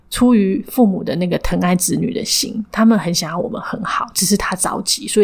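At a fairly quick pace, a somewhat breathy voice talks with ordinary pitch variation. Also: woman. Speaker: counseling psychologist and clinic director. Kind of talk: interview. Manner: frequent hearty laughter.

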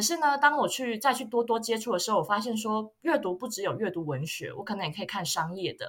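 A woman talks very fast with hardly any pauses. Her fairly high voice carries lively intonation. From Taiwan. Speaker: luxury marketing graduate student. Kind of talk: casual chat.

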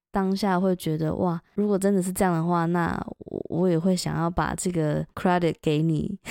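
A woman speaks at a moderate pace with a fairly low pitch, a dark, mellow tone and monotone, flat intonation, in a dry, close sound with no echo. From Taiwan. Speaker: podcast host. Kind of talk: casual chat.

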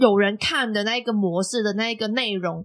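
A woman at fairly high pitch, ordinary pitch variation and a moderate pace. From Macau. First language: Cantonese (speaking Chinese). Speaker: podcast host. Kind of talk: casual interview chat.

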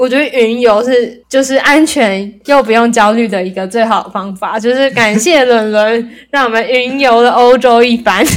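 Her voice is an unremarkable speaking voice, fairly high in pitch. The woman talks at a medium speed with fairly level intonation. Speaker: podcast host. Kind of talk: casual chat.

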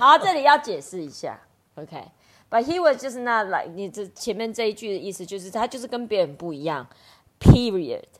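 Speaking at a fairly quick pace in a Chinese accent, a woman uses an animated tone and a fairly high pitch with very wide pitch swings. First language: Mandarin Chinese. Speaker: English teacher and podcast host. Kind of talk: casual bilingual chat about a picture book. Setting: live online audio room.

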